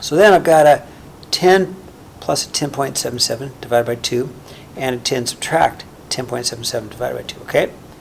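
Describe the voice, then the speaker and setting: Through noticeable background noise, a man speaks at a fairly quick pace with a fairly high pitch and ordinary pitch variation. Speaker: math teacher. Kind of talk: tutorial. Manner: fast; casual, with fillers.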